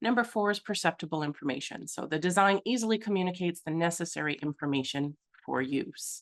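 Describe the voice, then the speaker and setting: This woman talks at a very fast pace, her pitch fairly low and her intonation lively. The sound is dry and close with no echo, against a quiet background. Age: 40s. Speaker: accessibility consultant. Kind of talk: presentation. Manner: animated.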